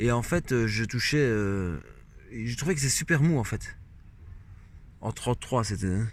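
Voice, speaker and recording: A man talks at a medium pitch with lively intonation. He goes at a fairly slow pace, leaving long, frequent pauses. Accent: slight Belgian. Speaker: moped hobbyist vlogger. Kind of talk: unboxing video. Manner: hesitant, many fillers.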